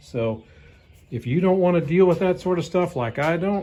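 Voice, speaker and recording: With an American accent, a man speaks in a dark, mellow tone with lively intonation. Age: 60s. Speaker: hobby woodturner. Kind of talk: casual tutorial rant. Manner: casual, rambling with self-corrections.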